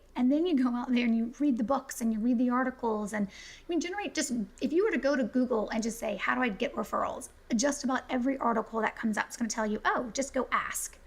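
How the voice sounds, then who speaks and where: Over noticeable background noise, a woman with a high voice speaks at a very fast pace with ordinary pitch variation. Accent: American. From US South, South Carolina. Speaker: business referral consultant. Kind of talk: podcast interview.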